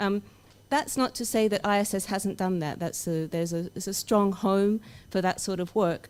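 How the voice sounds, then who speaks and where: With an Australian accent, a woman talks at a moderate pace and medium pitch, with ordinary pitch variation. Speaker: academic researcher. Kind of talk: conference opening speech.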